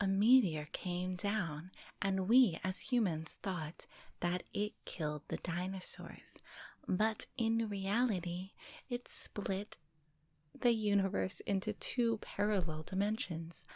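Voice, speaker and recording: Soft-spoken and somewhat breathy, a woman talks at a very slow pace at a medium pitch with ordinary pitch variation, the sound dry and close with no echo. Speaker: storyteller / ASMR reader. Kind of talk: reading aloud. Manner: not whispering.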